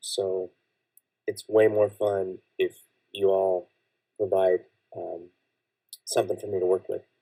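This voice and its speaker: A man speaks at a fairly slow pace in a dark, mellow tone. The sound is dry and close, with no echo. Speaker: livestream fiction writer. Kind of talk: live stream chat. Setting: home live stream from blanket fort. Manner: halting.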